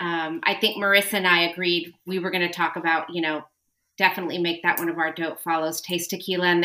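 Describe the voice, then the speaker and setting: In an American accent, a woman talks at a fairly quick pace with flat, monotone intonation. Her fairly low voice has a bright, sharp tone. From California. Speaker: tequila social media personality. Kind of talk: casual chat.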